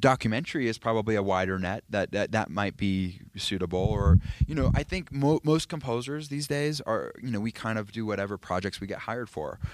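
Talking at a fairly quick pace, a man with a fairly low pitch uses lively intonation. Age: 30s. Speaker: film composer. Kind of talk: interview. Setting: at a film festival. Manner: halting, many fillers and restarts.

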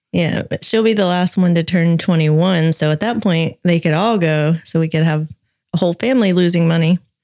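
A woman's fairly low voice with a dark, mellow tone and a Southern US accent. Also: ordinary pitch variation, moderate pace. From US South. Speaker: podcast co-host. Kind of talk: casual chat with scripted reading.

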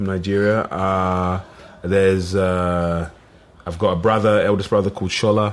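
A man with an East London accent, very deep and low in pitch, monotone and flat, at a moderate pace. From East London (Plaistow). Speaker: actor. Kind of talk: casual chat.

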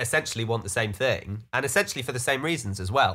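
With a British accent, a man speaks at a medium pitch in a bright, sharp tone with ordinary pitch variation. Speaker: studio owner. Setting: self-isolation, remote call.

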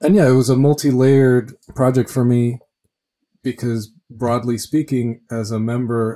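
A man with an American accent talks at a moderate pace in a medium pitch. His tone is dark and mellow, and his intonation is fairly even. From Cuba until age nine, then US. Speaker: pianist and composer. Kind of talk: interview.

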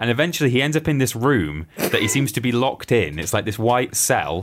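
Here a man of medium pitch talks at a moderate pace. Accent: English. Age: 20s. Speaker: podcast co-host. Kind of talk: casual chat. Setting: studio.

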